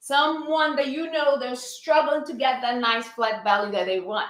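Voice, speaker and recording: Audible room echo surrounds a woman with a Brazilian accent who talks at a moderate pace, her high pitch showing ordinary variation. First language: Portuguese. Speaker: fitness instructor. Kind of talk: live-stream fitness class talk. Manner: animated.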